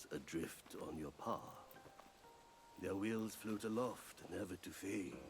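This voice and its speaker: Speaking at a fairly slow pace with long, frequent pauses, a man puts on a character voice at a fairly low pitch over clear background noise. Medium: video game. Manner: cryptic, solemn.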